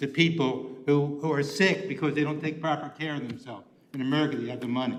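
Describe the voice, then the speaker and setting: This man's fairly high voice is heard with audible room echo and noticeable background noise. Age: 70s. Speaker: public commenter. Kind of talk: public comment. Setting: county commissioners' meeting. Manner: halting.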